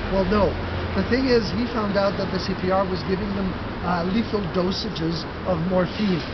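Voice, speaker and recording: Here a man speaks at a moderate pace. Loud background noise runs behind him. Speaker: walking tour guide. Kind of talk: tour guide narration to a group. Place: street. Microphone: camera far.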